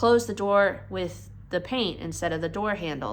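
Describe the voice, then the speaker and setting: A woman's voice with audible room echo. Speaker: car detailer, vlogger. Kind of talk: casual vlog explanation. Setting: garage workshop.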